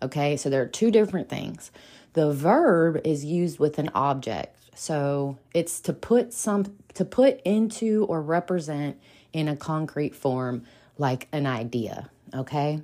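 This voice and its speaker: A woman with an American accent speaks at a fairly slow pace, her very deep, low voice dark and mellow, with lively intonation. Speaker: podcast host. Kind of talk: solo podcast monologue, short daily episode. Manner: casual, friendly, chatty with filler words.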